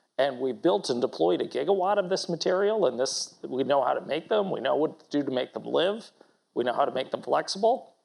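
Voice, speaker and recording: A man with a fairly high voice and vocal fry talks at a fairly quick pace. His intonation is lively. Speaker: company executive. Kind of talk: panel discussion at investor conference. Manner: loud.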